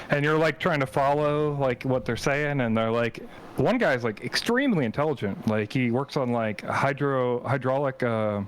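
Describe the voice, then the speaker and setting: A man with an ordinary speaking voice talks at a moderate pace and medium pitch. His loudness stays very even, with ordinary pitch variation. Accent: American. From US South, Alabama. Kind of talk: casual chat.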